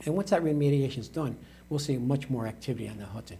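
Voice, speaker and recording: Speaking with an American accent, a man has a dark, mellow tone with vocal fry and ordinary pitch variation. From Troy, New York (US Northeast). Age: 60s. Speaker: mayor. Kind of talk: interview. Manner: halting.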